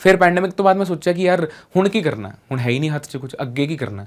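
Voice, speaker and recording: Recorded very cleanly with a silent background, a man speaks in a plain, everyday voice at a moderate pace with lively intonation. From Punjab, India. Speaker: radio jockey. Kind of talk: motivational talk.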